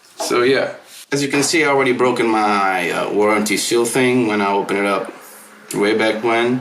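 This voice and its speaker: A man speaks at medium pitch and a moderate pace, with fairly even intonation and very even loudness. Audible room echo and noticeable background noise surround him. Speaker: music gear youtuber. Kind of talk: hands-on tutorial. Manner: mumbling at times; casual, rambling.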